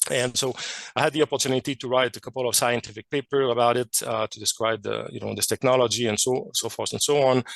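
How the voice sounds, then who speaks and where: A man rattles along at a very fast pace with fairly even intonation. The sound is dry and close, with no echo. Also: medium pitch for a man. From Quebec, Canada. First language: French. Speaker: chemist and amateur radio researcher. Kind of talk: technical presentation. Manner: hesitant, many fillers.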